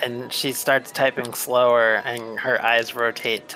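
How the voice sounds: Reading done in a natural voice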